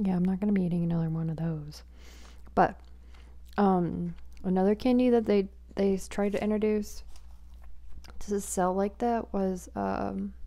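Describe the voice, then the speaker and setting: Soft-spoken, a woman talks at a moderate pace with long, frequent pauses. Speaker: asmr creator. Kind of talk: asmr soft-spoken mukbang chatting. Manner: soft-spoken, quiet. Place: home room. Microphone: handheld.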